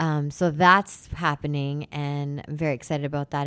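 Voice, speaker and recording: In a Canadian accent, a woman talks at a moderate pace with a very deep, low pitch and monotone, flat intonation on a very clean recording with a silent background. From Canada, Brampton/Mississauga Ontario. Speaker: singer-songwriter. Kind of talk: casual chat. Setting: studio.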